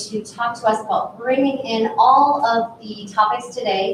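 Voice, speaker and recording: A woman's fairly high voice in a Minnesotan accent, with audible room echo and noticeable background noise. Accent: Minnesota. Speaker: panel moderator at a marketing conference. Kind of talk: conference panel moderation. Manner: casual, filler-heavy.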